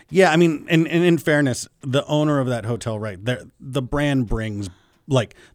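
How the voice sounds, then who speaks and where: An unremarkable speaking voice with lively intonation moves at a moderate pace over a very clean recording with a silent background. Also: man. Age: 30s. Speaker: hotel owner. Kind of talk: radio interview.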